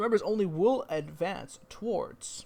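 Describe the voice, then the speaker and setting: A man speaks at a very slow pace. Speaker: tournament streamer and caster. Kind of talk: live game commentary. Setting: home stream room. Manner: loud; casual. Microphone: echo from open bathroom door.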